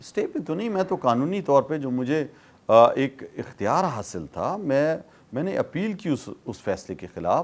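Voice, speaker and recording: The man's voice sits fairly high and moves through very wide pitch swings. The recording is very clean, with a silent background. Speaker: politician. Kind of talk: interview answer.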